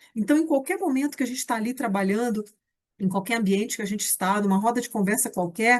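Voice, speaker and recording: A woman's fairly high, somewhat breathy voice at a fairly quick pace, with ordinary pitch variation over a quiet background. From Brazil, Rio de Janeiro. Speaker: teacher and education researcher. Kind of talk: recorded lecture.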